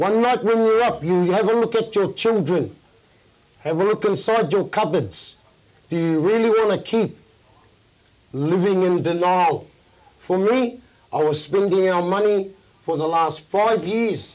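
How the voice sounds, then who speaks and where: A man's high-pitched voice at a fairly slow pace, with ordinary pitch variation, very even loudness and long, frequent pauses. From New Zealand. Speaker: recovering addict, panelist. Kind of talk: testimony. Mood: earnest, reflective. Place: studio. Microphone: lapel.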